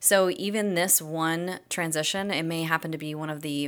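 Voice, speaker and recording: A woman with an ordinary speaking voice and a fairly low pitch at a moderate pace, in a very clean recording with a silent background. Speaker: podcast host and career coach. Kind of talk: podcast intro.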